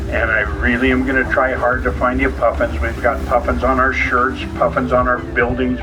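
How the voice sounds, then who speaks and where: A man is heard with music in the background and audible room echo. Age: 70s. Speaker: boat tour guide. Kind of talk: tour narration over PA. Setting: tour boat. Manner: casual, folksy.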